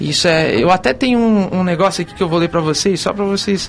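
A man talks with ordinary pitch variation. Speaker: gospel singer. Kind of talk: radio interview. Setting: radio studio.

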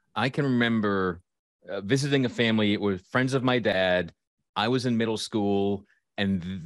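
Recorded very clean with a silent background and a dry, close sound with no echo, a man speaks in a plain, everyday voice, fairly low, with ordinary pitch variation. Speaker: podcast host and life coach. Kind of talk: casual interview chat.

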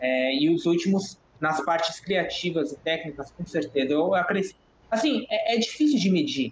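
Here a man speaks in a high pitch with lively intonation at a moderate pace. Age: 20s. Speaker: 3D generalist artist. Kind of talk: casual chat.

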